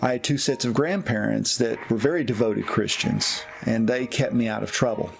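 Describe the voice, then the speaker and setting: A man speaks with a Tennessee accent and ordinary pitch variation. Music plays in the background. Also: medium pitch for a man, fairly quick pace. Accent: Southern US (Tennessee). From US South, East Tennessee. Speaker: pastor. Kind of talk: personal testimony.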